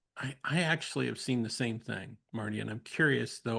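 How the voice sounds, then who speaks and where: A man speaks with vocal fry against a quiet background. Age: 60s. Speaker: podcast host, counselor educator. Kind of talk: casual conversation. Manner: halting, many false starts.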